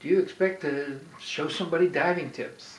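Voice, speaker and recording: Amid noticeable background noise, a man speaks fairly slowly. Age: 70s. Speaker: amateur diver. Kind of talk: casual instructional talk.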